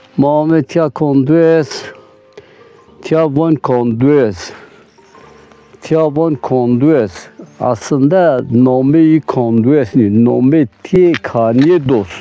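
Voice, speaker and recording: With music in the background, a man talks very slowly in a fairly high voice, taking long, frequent pauses, with ordinary pitch variation and very even loudness. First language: Zazaki (speaking Turkish). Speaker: villager interviewee. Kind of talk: interview testimony.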